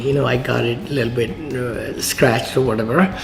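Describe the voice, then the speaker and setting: A man with a strong Indian accent speaks at a moderate pace, with audible room echo and noticeable background noise. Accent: thick Indian. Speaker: real estate investor. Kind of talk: casual chat. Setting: at a lunch table on site.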